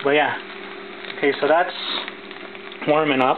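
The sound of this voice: Against faint background noise, a man talks at a fairly slow pace and fairly high pitch with fairly even intonation.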